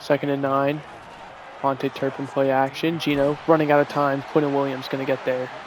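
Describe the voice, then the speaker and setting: Soft-spoken and fairly high-pitched, a man talks at a fairly quick pace in a monotone, flat delivery over noticeable background noise. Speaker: gaming streamer. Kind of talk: live game commentary. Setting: at home with guests over.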